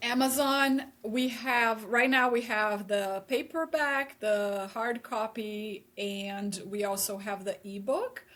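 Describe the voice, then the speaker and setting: A woman speaks very slowly yet with hardly any pauses. Her pitch is fairly high, with ordinary variation. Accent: Portuguese. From Brazil. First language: Portuguese. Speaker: therapist. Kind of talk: casual interview. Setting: remote video call from home.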